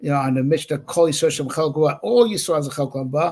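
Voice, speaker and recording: Fairly high in pitch, this man's voice comes across somewhat breathy. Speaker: rabbi teaching Torah class. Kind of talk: Torah lecture. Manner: halting with many fillers and repetitions.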